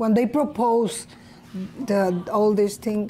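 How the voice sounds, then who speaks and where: With a Spanish accent, a woman speaks in a fairly high voice with a dark, mellow tone and ordinary pitch variation. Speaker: colonia resident activist. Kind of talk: documentary testimony.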